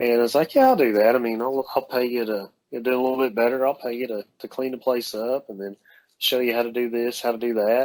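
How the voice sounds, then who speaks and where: The speaker has a Southern US accent. The intonation stays monotone and flat. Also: man, medium pitch for a man. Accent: Southern drawl. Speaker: dental lab owner and technician. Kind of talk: casual interview chat. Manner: halting, many fillers.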